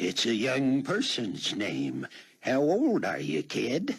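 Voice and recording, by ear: Husky and very slow, a man performs in a put-on character voice.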